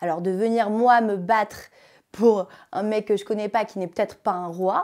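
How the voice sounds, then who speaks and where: A woman with a fairly high pitch speaks in an animated tone, recorded very cleanly against a silent background. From France, partly raised in Africa. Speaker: reality TV contestant. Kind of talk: casual interview. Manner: fast.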